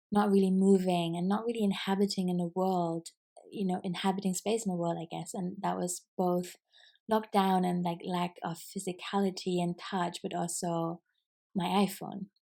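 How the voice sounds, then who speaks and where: This woman has a non-native accent and a dark, mellow tone. Her delivery is monotone and flat, and the recording is very clean with a silent background. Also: medium pitch for a woman, moderate pace. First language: not English. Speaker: podcaster and business coach. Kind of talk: casual solo podcast reflection. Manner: hesitant, filler-heavy.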